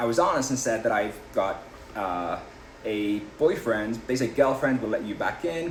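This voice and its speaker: In an English accent, a man with a medium-pitched voice speaks fairly quickly, with audible room echo and noticeable background noise. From England, Liverpool. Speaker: political candidate. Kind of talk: interview.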